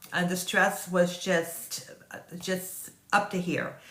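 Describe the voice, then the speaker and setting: The voice carries a slight Southern US accent. Noticeable background noise and audible room echo surround it. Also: woman. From US South. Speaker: online business marketer. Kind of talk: casual sales pitch talk to camera. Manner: hesitant, many fillers.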